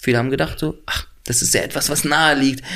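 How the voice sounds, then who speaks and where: This man's intonation stays fairly even. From Berlin, Neukölln. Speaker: actor. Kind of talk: interview. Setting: studio. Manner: clear articulation.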